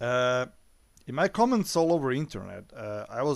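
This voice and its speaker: A man with a non-native accent at a moderate pace, in a very clean recording with a silent background. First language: not English. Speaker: YouTube movie reviewer. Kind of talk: opinion monologue. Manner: hesitant, many filler sounds.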